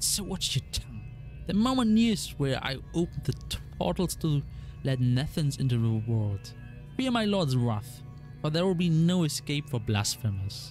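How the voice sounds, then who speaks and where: A put-on character voice at a moderate pace, with hissing and clear music in the background. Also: man, medium pitch for a man. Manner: menacing, threatening.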